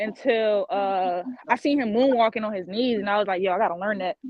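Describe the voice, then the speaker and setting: A woman's ordinary speaking voice with an American accent, fairly high in pitch, with ordinary pitch variation and a fairly quick pace. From Florida, Fort Lauderdale. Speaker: dancer. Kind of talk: casual interview.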